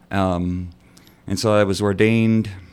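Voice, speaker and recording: In a Texan accent, a man speaks at a very deep, low pitch, fairly slowly, with monotone, flat intonation. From North Texas. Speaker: priest. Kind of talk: radio interview. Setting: studio.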